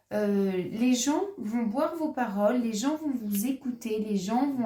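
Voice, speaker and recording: With noticeable background noise behind her, a woman speaks at a very slow pace in a fairly high pitch with ordinary pitch variation. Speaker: tarot reader. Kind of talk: tarot reading monologue. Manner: halting, many hesitations.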